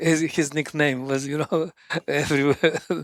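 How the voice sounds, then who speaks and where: A man with a strong Russian accent speaks at a fairly slow pace and a fairly high pitch, with a dry, close sound with no echo. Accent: thick Russian. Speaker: sports scientist, running coach. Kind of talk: podcast interview answer.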